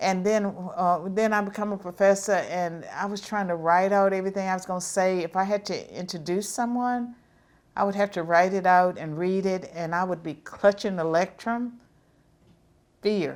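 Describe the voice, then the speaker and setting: Over a very clean, silent background, a woman with a Southern US accent speaks at a moderate pace and a medium pitch with fairly even intonation. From US South. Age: 70s. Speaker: professor. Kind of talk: interview.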